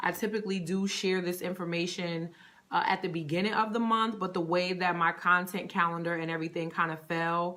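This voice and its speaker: A woman speaks in a northern US accent at a fairly low pitch. Her intonation is monotone and flat, and her pace is moderate. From Connecticut, US Northeast. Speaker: personal stylist. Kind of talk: live stream chat. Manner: casual, many fillers.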